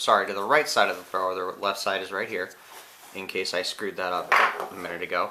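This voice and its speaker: This put-on character voice is raspy and races along at a very fast pace. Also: man, fairly low pitch for a man. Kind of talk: informal demonstration. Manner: apologetic, casual, explanatory.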